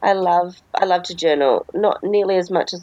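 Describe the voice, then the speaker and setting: A woman speaks at a medium pitch with an Australian accent and ordinary pitch variation. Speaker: podcast co-host. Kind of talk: casual chat. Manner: animated.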